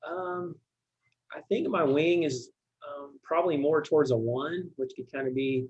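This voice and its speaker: A man talks in a fairly high pitch with ordinary pitch variation. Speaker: church deacon of finance. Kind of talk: podcast interview. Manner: quiet, reserved.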